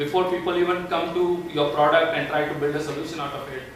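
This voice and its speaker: Over noticeable background noise and audible room echo, a man speaks in a high pitch at a moderate pace. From India. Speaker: tech company evangelist. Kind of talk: tech presentation. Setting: meetup talk without microphone. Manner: loud. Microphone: no microphone, far from recording.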